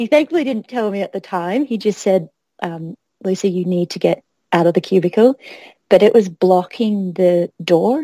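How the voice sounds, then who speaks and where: In an Australian accent, a woman speaks at a moderate pace in a medium-pitched, dark and mellow voice with ordinary pitch variation, recorded dry and close with no echo. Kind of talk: casual chat.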